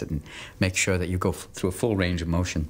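A man's very deep, low voice at a very fast pace. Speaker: actor being interviewed. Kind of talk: interview answer. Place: home room.

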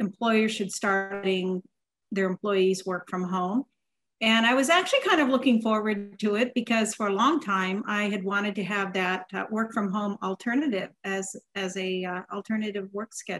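A woman's fairly even intonation comes at a moderate speed. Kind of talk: conversational recollection. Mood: calm, reflective. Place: home room. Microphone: video call.

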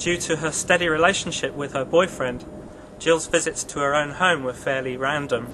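Over noticeable background noise, a man speaks in a fairly high voice with ordinary pitch variation. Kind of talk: true-crime documentary narration.

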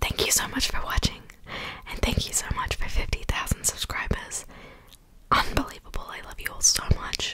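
A woman whispers, soft-spoken. Loud background noise surrounds her voice. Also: moderate pace. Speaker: mukbang video creator. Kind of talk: casual vlog chat. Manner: soft ASMR whisper close to mic. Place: home room. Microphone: studio mic.

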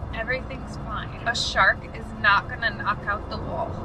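A woman talks at a fairly slow pace. Behind her, music plays. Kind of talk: casual vlog chat. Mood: anxious, scared, half joking. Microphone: camera far.

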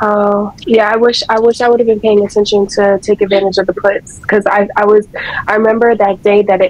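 The voice moves at a fairly quick pace with monotone, flat intonation, and noticeable background noise is present. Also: woman. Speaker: trading group member. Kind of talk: casual chat. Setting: video call.

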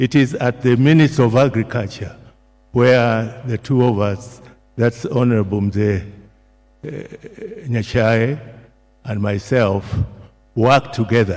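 At a very slow pace, a man speaks with long, frequent pauses and ordinary pitch variation. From Kenya. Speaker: retired civil servant. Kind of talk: eulogy. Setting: church memorial service. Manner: formal, hesitant with fillers. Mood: solemn, respectful. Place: hall. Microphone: podium.

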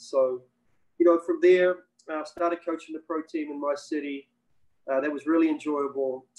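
Against a quiet background, a man with a New Zealand accent speaks at a fairly high pitch and a moderate pace. His intonation is monotone and flat, with long, frequent pauses. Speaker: basketball coach and former pro player. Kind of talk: webinar interview. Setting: video call. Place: home room. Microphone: video call.

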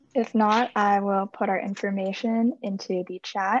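A plain, everyday voice with fairly even intonation, a quiet background and dry sound with no echo. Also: woman. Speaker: student program coordinator. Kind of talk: Q&A moderation. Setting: video call. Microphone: video call.

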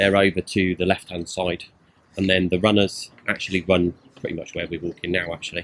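A man speaks in a very deep, low voice. There is light noise in the background. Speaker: travel vlogger. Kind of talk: casual vlog commentary. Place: open country. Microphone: phone near.

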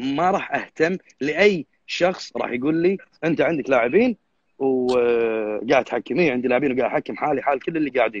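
A man with a Kuwaiti accent, dry sound and no echo. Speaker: bodybuilding judge. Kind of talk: live stream interview. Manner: fast. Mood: earnest, firm. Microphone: unstable connection, voice cutting out; video call.

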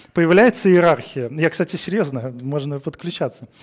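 Against a quiet background, a man speaks in a fairly high pitch with lively intonation. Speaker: conference speaker, engineering director; conference speaker. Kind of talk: conference talk. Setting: stage with audience. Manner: fast. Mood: humorous, relaxed. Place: studio.

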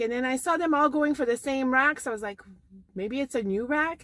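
A woman speaks at a fairly quick pace with a high pitch. The sound is dry with no echo, over a quiet background. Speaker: thrift shopping vlogger. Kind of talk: casual vlog chat. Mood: chatty, lightly amused. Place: car. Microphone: phone near.

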